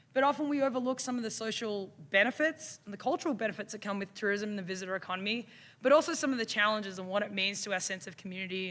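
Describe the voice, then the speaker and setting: A woman's bright, sharp voice with an Australian accent and lively intonation. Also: very clean recording, silent background. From Australia, Melbourne. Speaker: university instructor. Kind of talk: conference presentation.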